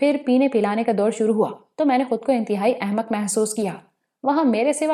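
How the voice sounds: The background is quiet behind a natural reading voice whose pitch varies an ordinary amount.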